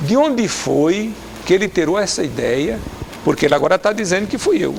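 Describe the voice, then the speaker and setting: A high-pitched man at a moderate pace with very wide pitch swings, amid noticeable background noise. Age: 60s. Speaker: politician. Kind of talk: TV interview. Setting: TV studio. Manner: animated.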